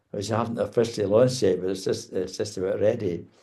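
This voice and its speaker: This man has a Scottish accent and a medium pitch. His tone is dark and mellow. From Scotland. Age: 70s. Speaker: author. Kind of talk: interview. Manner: halting.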